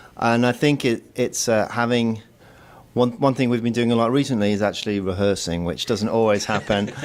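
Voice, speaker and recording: Speaking in a British accent, a man talks at a fairly quick pace and medium pitch with fairly even intonation and very even loudness. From northern England, Manchester. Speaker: musician. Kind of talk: interview. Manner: halting.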